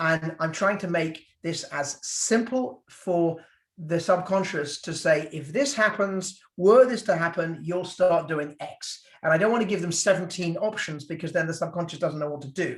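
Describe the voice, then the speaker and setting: In a British accent, a man with a high pitch speaks at a moderate pace. He uses ordinary pitch variation and hardly any pauses. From Britain. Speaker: physician. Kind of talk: Q&A talk on a video call. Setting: video call. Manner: casual, hesitant with fillers.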